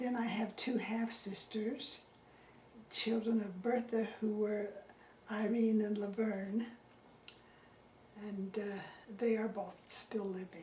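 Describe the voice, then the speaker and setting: In a Utah accent, the speech moves at a very slow pace in monotone, flat intonation with long, frequent pauses, amid audible room echo and noticeable background noise. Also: woman, fairly high pitch for a woman. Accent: Utah American. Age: 80s+. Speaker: retired teacher interviewed about local history. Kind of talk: oral history interview. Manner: halting.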